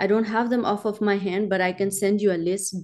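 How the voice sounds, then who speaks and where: A woman with a Pakistani accent speaks at a moderate pace and medium pitch, her intonation fairly even. Her tone is dark and mellow over a quiet background. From Pakistan, small mountainous region. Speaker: film producer and humanitarian. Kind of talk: interview. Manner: halting.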